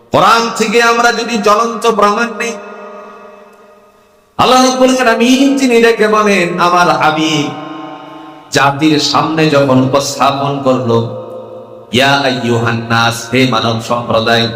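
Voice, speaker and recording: The voice moves through very wide pitch swings while noticeable background noise runs underneath. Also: man, fairly high pitch for a man. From Kishoreganj, Bangladesh. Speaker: Islamic preacher. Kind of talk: religious sermon to a crowd. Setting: outdoor gathering.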